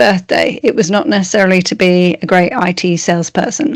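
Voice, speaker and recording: At a moderate pace, a woman speaks in an English accent. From England. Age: 50s. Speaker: strengths coach. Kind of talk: interview.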